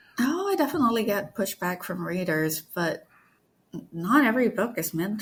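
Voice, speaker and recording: Somewhat breathy speech comes at a moderate pace. Very clean recording, silent background. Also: woman. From Malaysia. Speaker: author. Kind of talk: casual interview.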